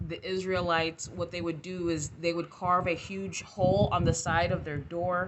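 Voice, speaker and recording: A woman speaks at a fairly slow pace in a fairly low pitch, with fairly even intonation over noticeable background noise. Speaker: tarot reader. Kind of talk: casual tarot reading.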